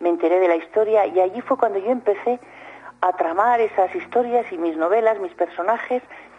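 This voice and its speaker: A woman talks fairly quickly with ordinary pitch variation while noticeable background noise continues. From Spain, Soria. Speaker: writer. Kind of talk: radio interview. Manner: halting.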